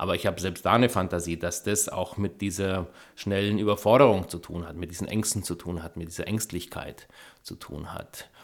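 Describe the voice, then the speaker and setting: In a very clean recording with a silent background, a man with a very deep, low voice talks at a fairly quick pace, his intonation fairly even but his loudness swinging widely. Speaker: film director. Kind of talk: interview. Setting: home studio.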